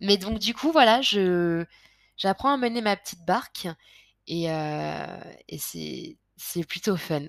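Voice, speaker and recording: A woman's very slow delivery with lively intonation and long, frequent pauses, on a very clean recording with a silent background. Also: medium pitch for a woman, big swings in loudness. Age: 20s. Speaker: podcast host. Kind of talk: personal confessional monologue. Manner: hesitant, many fillers and repetitions.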